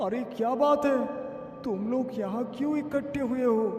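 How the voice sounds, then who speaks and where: A man does a cartoonish character voice at an extremely high pitch. He keeps a moderate pace, with clear echo around him. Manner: sanctimonious, formal.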